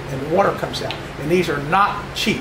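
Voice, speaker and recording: Over noticeable background noise, a man with a high pitch speaks at a moderate pace with ordinary pitch variation. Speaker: presenter. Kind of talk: presentation talk with anecdotes. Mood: jovial, chuckling. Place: hall. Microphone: camera far.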